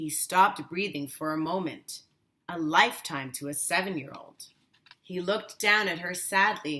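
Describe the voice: A woman speaks at a fairly slow pace in a fairly low pitch, her bright, sharp tone carrying a slightly husky edge and ordinary pitch variation.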